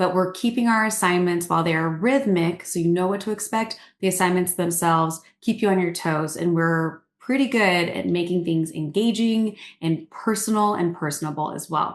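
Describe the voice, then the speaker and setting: A woman speaks with a fairly low pitch and ordinary pitch variation. The background is quiet. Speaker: program director. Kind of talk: webinar presentation. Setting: video call. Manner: fast.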